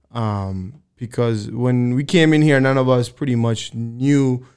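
A man at medium pitch, speaking at a very slow pace. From Dominican Republic. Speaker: firefighter and EMT. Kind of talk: casual chat.

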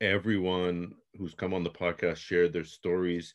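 Very deep, low-pitched male speech with a Canadian accent against a quiet background. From Toronto, Canada. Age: 40s. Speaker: sneaker collector and podcaster. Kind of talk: casual interview.

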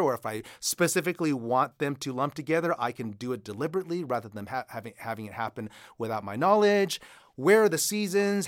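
A man with an American accent talks at a very fast pace in a fairly high pitch with very wide pitch swings, on a very clean recording with a silent background. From United States. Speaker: author and creative writing instructor. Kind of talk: interview about writing.

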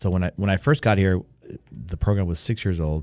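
The recording is very clean, with a silent background. A man with a very deep, low voice talks at a fairly quick pace with ordinary pitch variation. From Argentina (Rosario), moved to Southern California at ten. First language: Spanish. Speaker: college soccer coach. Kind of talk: interview. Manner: halting, frequent repetitions.

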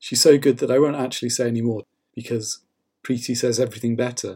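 Over a very clean recording with a silent background, a man speaks fairly quickly in a dark, mellow tone with monotone, flat intonation. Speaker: podcast host. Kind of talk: podcast introduction.

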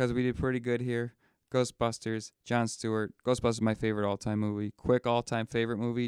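In a Western New York accent, a man at medium pitch speaks at a fairly quick pace with monotone, flat intonation in a dry, close sound with no echo. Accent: Western New York (Inland North) American. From Western New York, near Buffalo. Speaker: podcast co-host. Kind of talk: casual chat. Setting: studio.

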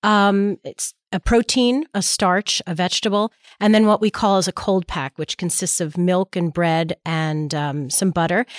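In a dry, close recording with no echo, a woman speaks in an unremarkable speaking voice at medium pitch and a moderate pace, with ordinary pitch variation. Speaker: nonprofit executive. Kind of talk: interview answers.

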